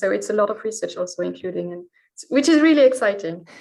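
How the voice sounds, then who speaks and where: A woman speaks with a French accent. Her pitch sits fairly high. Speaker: historical researcher. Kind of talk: podcast interview.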